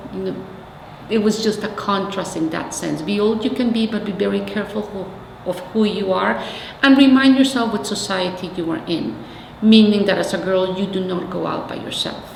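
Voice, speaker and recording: A woman with a Mexican accent speaks at a moderate pace and medium pitch, her pitch varying in an ordinary way, with audible room echo and noticeable background noise. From Mexico City, Mexico. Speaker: community organizer. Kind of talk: oral history interview.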